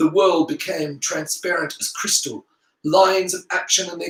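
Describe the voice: The speech is plain reading aloud against a quiet background.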